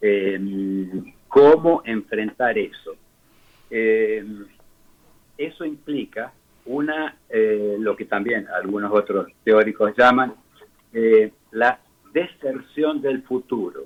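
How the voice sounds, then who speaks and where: With long, frequent pauses, a man speaks very slowly at a medium pitch with ordinary pitch variation. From Rosario, Argentina. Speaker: architect. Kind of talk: interview answer.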